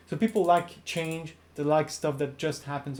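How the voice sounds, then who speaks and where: A speaker with a non-native accent talks at a fairly quick pace. The recording is very clean, with a silent background. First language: not English. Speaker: YouTuber, ecommerce app creator. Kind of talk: talking-head video, casual explanation. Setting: recording to camera. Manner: hesitant, many fillers.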